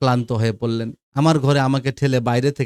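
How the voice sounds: Behind a natural reading voice the background is quiet, and the intonation stays fairly even.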